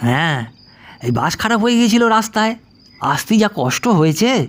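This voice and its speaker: Putting on a gruff character voice, a man speaks at a moderate pace with a high pitch and very wide pitch swings. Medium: read story. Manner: gruff, scolding.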